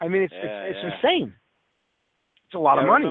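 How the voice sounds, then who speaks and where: A man speaks with a strong Brooklyn accent. His pitch sits high. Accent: heavy Brooklyn. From Brooklyn, New York. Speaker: radio show host. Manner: casual, conversational.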